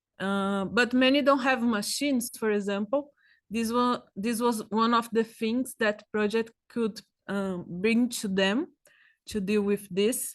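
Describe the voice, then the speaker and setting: A woman with a Brazilian Portuguese accent speaks at a fairly slow pace, fairly high in pitch with fairly even intonation, over a quiet background. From Brazil, São Paulo. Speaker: agroecologist researcher. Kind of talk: presentation. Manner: halting.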